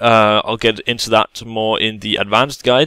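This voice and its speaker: A man speaks with a Danish accent. The sound is dry and close, with no echo. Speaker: gaming YouTuber. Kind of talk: tutorial. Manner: halting, many fillers.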